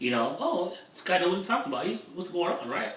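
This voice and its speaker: A man with a high pitch sounds animated, his pitch swinging very widely, with audible room echo and noticeable background noise. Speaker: internet marketer. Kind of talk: vlog monologue.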